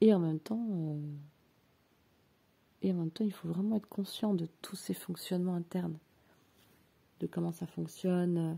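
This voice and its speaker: Fairly low in pitch, a woman speaks in a calm, dark, mellow tone that is somewhat breathy. Her intonation is fairly even, with long, frequent pauses. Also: fairly slow pace. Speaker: personal development coach. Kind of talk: reflective monologue. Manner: slow and calm; hesitant, many filler sounds.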